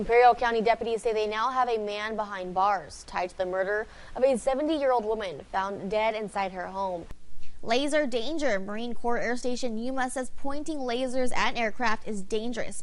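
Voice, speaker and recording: At a moderate pace, a woman talks in a normal speaking voice pitched fairly high. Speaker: news reporter and anchor. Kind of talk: TV news field report.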